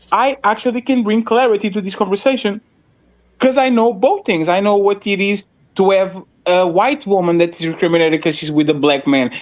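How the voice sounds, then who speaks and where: In a Russian accent, a man with a high voice talks at a fairly quick pace with lively intonation. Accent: Russian-sounding. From Portugal. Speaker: panelist. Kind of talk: heated debate.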